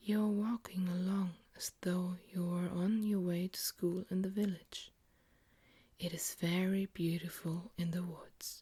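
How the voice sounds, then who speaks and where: Soft-spoken, this speaker keeps to a fairly slow pace. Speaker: ASMR creator. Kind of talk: ASMR bedtime story reading.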